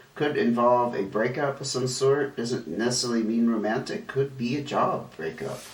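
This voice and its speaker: Speech moves at a moderate pace with hardly any pauses. Noticeable background noise is present. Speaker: tarot reader. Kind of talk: tarot reading. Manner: halting, with fillers.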